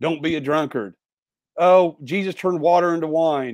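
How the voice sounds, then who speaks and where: On a very clean, dry, close recording with a silent background and no echo, a man with an American accent and an unremarkable speaking voice talks at a moderate pace and a fairly high pitch. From Indiana. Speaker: pastor. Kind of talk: casual chat.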